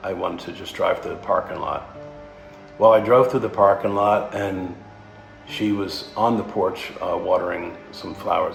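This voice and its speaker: There is music in the background as a man talks. His pace is fairly slow. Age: 60s. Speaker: sailing vlogger. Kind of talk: personal storytelling to camera.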